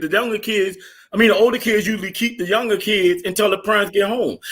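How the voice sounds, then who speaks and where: A man's raised, projected voice sounds animated, with a bright, sharp tone. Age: 40s. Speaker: podcast host. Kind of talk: heated debate. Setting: live stream.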